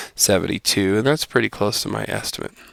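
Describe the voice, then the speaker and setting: A man speaks at a fairly low pitch with vocal fry and lively intonation, recorded dry and close with no echo, very clean and over a silent background. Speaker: math teacher. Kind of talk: tutorial.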